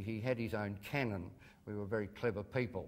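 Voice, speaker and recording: At a moderate pace, a man with an Australian accent talks with audible room echo. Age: 60s. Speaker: comedian. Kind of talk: lecture. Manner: halting, many ums and uhs.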